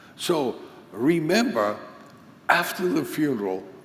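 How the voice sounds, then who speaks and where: Audible room echo fills the space. A man talks within it. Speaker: conference teacher on pastoral care. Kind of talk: lecture.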